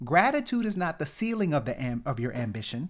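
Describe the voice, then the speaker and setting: Very wide pitch swings from a man with a New Orleans accent, fairly high pitched, at a moderate pace on a very clean recording with a silent background. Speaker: motivational podcast host, pharmacist. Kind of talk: motivational talk. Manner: conversational, repetitive emphasis.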